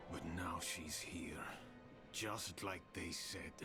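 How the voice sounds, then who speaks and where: A man speaks very slowly in a put-on character voice over loud background noise. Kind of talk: video game dialogue. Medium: video game. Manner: grim, low-key, laconic.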